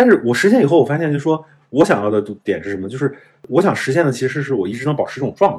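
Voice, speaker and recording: Speaking at a very fast pace, a man with a fairly high pitch makes very wide pitch swings. His voice is somewhat breathy, with big swings in loudness. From northern China. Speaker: investor. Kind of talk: interview. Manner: casual.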